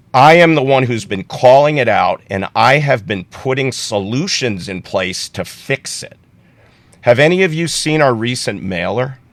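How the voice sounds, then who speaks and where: Lively intonation and a moderate pace in an ordinary speaking voice. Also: man, medium pitch for a man. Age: 60s. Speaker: political candidate. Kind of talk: candidate interview.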